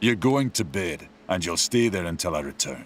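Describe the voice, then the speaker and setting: A man puts on a growling character voice at a very deep, low pitch. He speaks at a moderate pace. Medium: solo performance. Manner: gruff, commanding.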